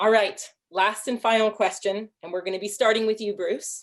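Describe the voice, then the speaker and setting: A woman's fairly high voice with an American accent and fairly even intonation. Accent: sounds Canadian to others. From US Pacific Northwest (Seattle). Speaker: panel moderator. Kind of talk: panel moderation.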